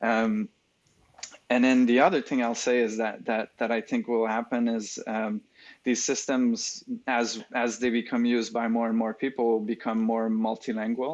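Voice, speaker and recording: Delivered at a moderate pace with a slight French accent, the speech has monotone, flat intonation. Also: man, medium pitch for a man. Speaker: AI research lead. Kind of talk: podcast interview. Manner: hesitant, many fillers.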